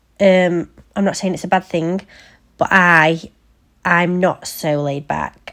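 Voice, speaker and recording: This woman has an English accent and a fairly low pitch. She speaks at a very slow pace on a very clean recording with a silent background. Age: 30s. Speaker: podcast host. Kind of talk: personal storytelling monologue. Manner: casual, unscripted.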